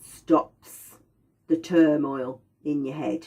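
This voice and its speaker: A quiet woman's voice with a dark, mellow tone. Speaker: aromatherapy teacher. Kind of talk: lecture. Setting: indoors by a window. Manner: slower and quieter.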